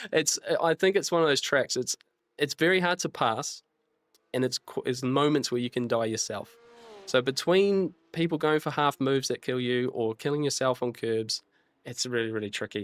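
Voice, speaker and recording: This man talks at a fairly quick pace with a New Zealand accent. His pitch is fairly high, and the sound is dry and close with no echo. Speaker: sim racing streamer. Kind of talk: live stream commentary. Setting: live stream. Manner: halting.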